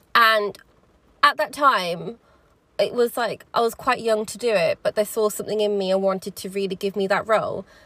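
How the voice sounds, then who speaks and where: The speech moves at a fairly quick pace. There is a slight Birmingham accent. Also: woman. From Birmingham, England. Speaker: podcast host. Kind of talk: solo podcast monologue. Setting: in a car, rain in background. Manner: casual, chatty, hesitant with fillers.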